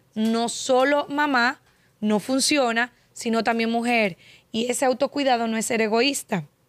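At a fairly slow pace, a woman with fairly high pitch and ordinary pitch variation speaks in a dry sound with no echo. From Dominican Republic (La Vega); Dominican Republic. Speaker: podcast host. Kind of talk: casual interview. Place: studio. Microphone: studio mic.

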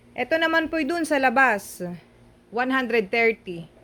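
At a very slow pace, a woman with a high-pitched voice speaks with lively intonation. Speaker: vlogger. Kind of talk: shopping vlog narration. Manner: animated.

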